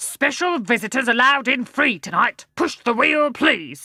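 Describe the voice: A woman's gruff, high-pitched, put-on character voice. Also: moderate pace.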